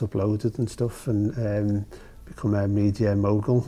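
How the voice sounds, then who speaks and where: With a strong Liverpool accent, a man talks in a dark, mellow tone at a fairly low pitch with monotone, flat intonation. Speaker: music journalist and cultural organiser. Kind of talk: interview. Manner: halting, many fillers.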